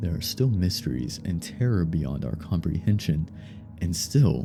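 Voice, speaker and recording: A man with a very deep, low voice speaks at a moderate pace with lively intonation over music in the background. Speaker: horror story narrator. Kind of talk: creepypasta horror narration.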